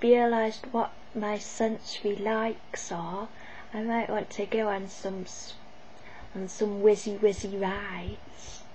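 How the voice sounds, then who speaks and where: A woman speaks over light background noise. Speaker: vlogger. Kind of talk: casual vlog chat. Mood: enthusiastic, chatty. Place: home room. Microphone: webcam.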